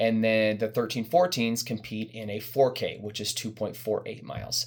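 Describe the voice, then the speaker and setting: With ordinary variation in his pitch, the man's voice sits at a medium level. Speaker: youth running coach. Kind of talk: informational parent briefing. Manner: fast.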